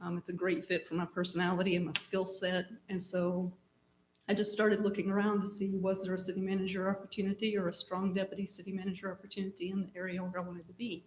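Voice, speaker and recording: A woman with an American accent talks very fast at a medium pitch in a monotone, flat way. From East Tennessee. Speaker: city manager, job candidate. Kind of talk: job interview. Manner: hesitant with frequent ums.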